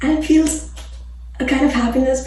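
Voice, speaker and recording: Soft-spoken and fairly quick, the speaker keeps a fairly even intonation amid noticeable background noise. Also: woman. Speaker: fitness and nutrition coach. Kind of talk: casual talk to camera.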